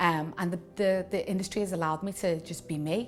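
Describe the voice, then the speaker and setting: Music plays behind a woman with a Liverpool accent and a fairly low pitch. She talks at a moderate pace with monotone, flat intonation. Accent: Scouse. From Liverpool, England. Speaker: radio producer and presenter. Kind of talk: interview monologue.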